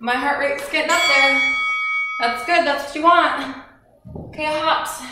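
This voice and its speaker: Loud background noise and audible room echo surround a woman speaking at a fairly slow pace. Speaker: home fitness instructor. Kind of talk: workout instruction and casual chat. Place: home room. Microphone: camera far.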